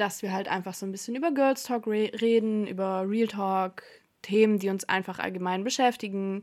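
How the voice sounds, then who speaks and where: Over a very clean recording with a silent background, a woman with a plain, everyday voice speaks at a medium pitch with ordinary pitch variation. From Stuttgart area, Germany. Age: 20s. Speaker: podcast co-host. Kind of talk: casual chat.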